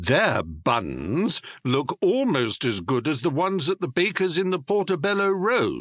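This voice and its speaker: A man uses a put-on character voice, pitched high, at a moderate pace. He hardly pauses at all. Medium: read story. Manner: earnest, polite.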